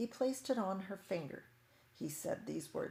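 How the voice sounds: The words are read out. The voice is a natural reading voice.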